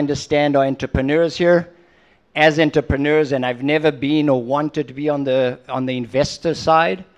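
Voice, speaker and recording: With a slight South African accent, a man speaks at a fairly high pitch. His intonation is fairly even and his pace moderate. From South Africa, moved to Israel at five. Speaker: entrepreneur and investor. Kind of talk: on-stage interview. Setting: conference stage with audience.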